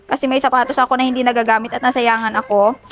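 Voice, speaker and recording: Over noticeable background noise, a woman speaks at a fairly quick pace with a high pitch. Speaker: vlogger. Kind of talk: casual vlog. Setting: outdoors travelling. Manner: animated.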